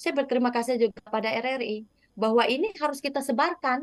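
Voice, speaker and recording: A woman speaks at a moderate pace in a high voice with ordinary pitch variation. The sound is dry with no echo, and the background is quiet. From Indonesia, West Kalimantan (Dayak). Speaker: textile business founder; guest. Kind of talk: interview. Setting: remote connection. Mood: warm, enthusiastic. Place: home room. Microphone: video call.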